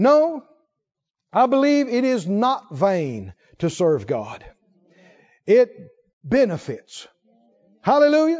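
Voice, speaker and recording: An extremely high-pitched man's voice, very slow with long, frequent pauses and very wide pitch swings. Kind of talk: sermon, preacher in full flow. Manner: animated, emphatic, call-and-response with congregation; repetitive, rhythmic, building with exclamations.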